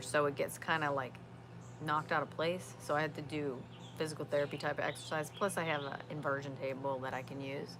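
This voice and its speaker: A woman's very deep, low voice moves along at a fairly quick pace. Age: 50s. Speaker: outdoors vlogger. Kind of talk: casual live-stream chat. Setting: outdoors in backyard. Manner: halting, many fillers.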